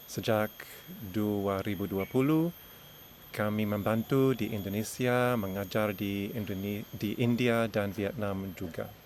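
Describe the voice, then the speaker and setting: A man with an English accent talks at a very slow pace. His pitch is fairly low, with ordinary variation. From Australia. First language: English (speaking Indonesian). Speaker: education consultant and teacher. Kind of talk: lecture. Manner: halting.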